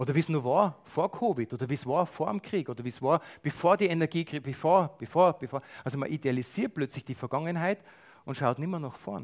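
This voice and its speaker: A man talks in a plain, everyday voice, fairly high in pitch, with lively intonation and a fairly quick pace. The sound is dry and close with no echo, on a very clean recording with a silent background. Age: 50s. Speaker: lay preacher. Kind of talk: sermon.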